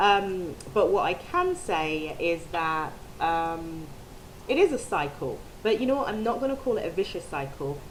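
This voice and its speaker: A woman speaks at a fairly slow pace with lively intonation. There is audible room echo. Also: medium pitch for a woman. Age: 30s. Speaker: video blogger. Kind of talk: personal vlog testimony. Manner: hesitant, many ums.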